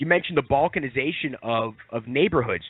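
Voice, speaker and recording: A man with an American accent talks at a fairly quick pace in an ordinary speaking voice, his intonation lively. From Long Island, New York. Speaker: economic analyst guest. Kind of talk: radio interview. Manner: casual, with many fillers and repetitions.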